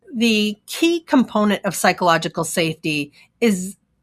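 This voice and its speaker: With lively intonation, a woman speaks at medium pitch and a moderate pace, the sound dry and close with no echo. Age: 60s. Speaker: psychologist. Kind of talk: interview conversation. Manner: hesitant fillers.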